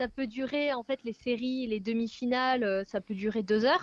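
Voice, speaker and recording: Speaking at a moderate pace, a woman with a fairly high pitch has an ordinary speaking voice and ordinary pitch variation. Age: 20s. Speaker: athlete. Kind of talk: interview.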